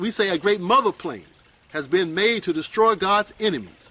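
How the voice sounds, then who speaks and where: A man speaks in a raised, projected voice at a moderate pace, his pitch high and his intonation lively. Noticeable background noise runs behind him. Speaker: Nation of Islam teacher. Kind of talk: religious lecture answering questions.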